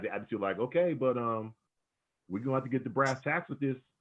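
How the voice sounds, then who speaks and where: Speaking very fast in an animated tone, a man shows ordinary pitch variation. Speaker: theatre staff member and talk host, former radio host. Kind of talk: panel discussion on video call. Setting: video call. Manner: animated, repetitive.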